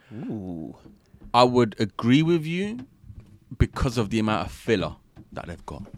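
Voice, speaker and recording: A man talks at medium pitch and a fairly slow pace, with long, frequent pauses. His tone is animated, with very wide pitch swings. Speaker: podcast host. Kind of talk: casual banter, anime chat. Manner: animated, joking.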